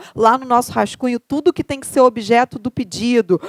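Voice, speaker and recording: On a very clean recording with a silent background and a dry, close sound with no echo, a woman with a Carioca accent speaks at a high pitch and a fairly quick pace with ordinary pitch variation. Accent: Carioca (Rio) accent, noticeable. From Rio de Janeiro, Brazil. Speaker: law professor. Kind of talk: lecture. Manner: conversational, rhetorical questions.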